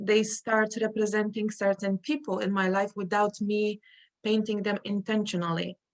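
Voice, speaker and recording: A woman with a Polish accent speaks at a moderate pace and medium pitch in a monotone, flat intonation, with a dry, close sound and no echo. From Poland. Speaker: artist. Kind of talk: interview. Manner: halting.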